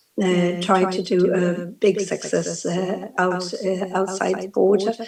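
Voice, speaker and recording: Over noticeable background noise, the voice speaks at a very slow pace in a monotone, flat intonation. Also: woman, medium pitch for a woman. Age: 60s. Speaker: musician. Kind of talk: panel discussion. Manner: halting.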